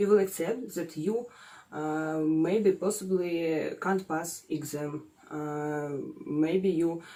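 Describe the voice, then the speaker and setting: A woman's fairly low, dark and mellow voice in a Russian accent, very slow in pace, with ordinary pitch variation. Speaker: psychology student, guest expert. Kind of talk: casual advice chat. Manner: halting, many filler sounds.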